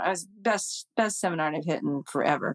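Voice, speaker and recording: A woman with an American accent talks at a fairly quick pace in a very clean recording with a silent background and a dry, close sound with no echo. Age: 60s. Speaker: amateur golf champion. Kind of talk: interview conversation. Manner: animated.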